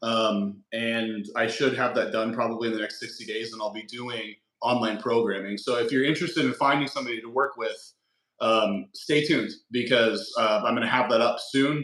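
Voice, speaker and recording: A man with an American accent speaks in a plain, everyday voice at medium pitch. His pace is moderate and his intonation fairly even. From Nebraska, US Midwest. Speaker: fitness influencer. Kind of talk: casual interview.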